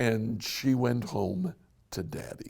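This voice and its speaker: A raspy, put-on character voice with ordinary pitch variation. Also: man. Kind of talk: sermon, Bible study. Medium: solo performance. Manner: conversational, earnest.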